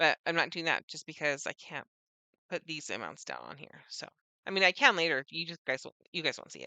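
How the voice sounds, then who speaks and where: Speaking at a fairly quick pace, a woman uses ordinary pitch variation and a bright, sharp tone with vocal fry. The sound is dry and close, with no echo. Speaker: budgeting vlogger. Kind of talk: casual tutorial. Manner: fast; hesitant, many fillers.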